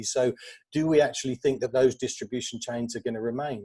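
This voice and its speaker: Speaking in a London accent, a man has a dark, mellow tone. His very fast delivery sounds dry and close with no echo. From England, northwest London. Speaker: media agency executive. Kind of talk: conference panel talk. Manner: halting, many fillers.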